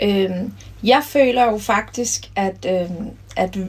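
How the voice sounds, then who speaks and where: A woman speaks over noticeable background noise. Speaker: former handball player and coach. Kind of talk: interview.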